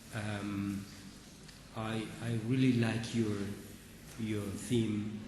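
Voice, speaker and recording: A man speaks at a very slow pace in a medium pitch, his intonation flat and monotone. Room echo is audible, and background noise is noticeable. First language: Spanish. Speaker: medical oncologist. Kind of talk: conference talk. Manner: halting, many fillers and repetitions.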